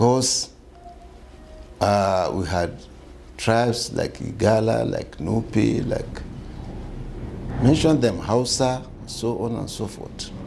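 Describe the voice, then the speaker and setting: Long, frequent pauses break up a man's very slow speech. Noticeable background noise and audible room echo are present. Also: medium pitch for a man, ordinary pitch variation. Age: 60s. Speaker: community leader. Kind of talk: interview.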